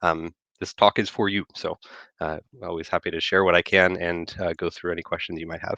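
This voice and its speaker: At a very fast pace, a man speaks with a very deep, low pitch and a bright, sharp tone. The sound is dry and close with no echo, over a quiet background. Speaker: electrical engineer giving a talk. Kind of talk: technical presentation. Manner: hesitant with many fillers.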